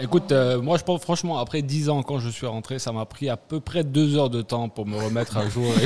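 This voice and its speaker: A man speaks at a fairly quick pace with an Ivorian accent and a medium pitch. Music plays in the background. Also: ordinary pitch variation, hardly any pauses. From Ivory Coast, Abidjan. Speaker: returnee from abroad. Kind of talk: casual chat. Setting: studio.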